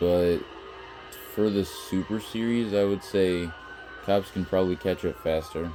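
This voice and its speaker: Over background music, a man talks very slowly in a very deep, low voice. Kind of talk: gameplay commentary.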